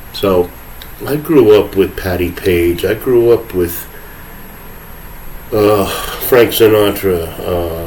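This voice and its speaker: Speech comes at a very slow pace over noticeable background noise, with audible room echo. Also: man. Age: 60s. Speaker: podcast host. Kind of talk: solo monologue rant. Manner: sarcastic, rambling conversational.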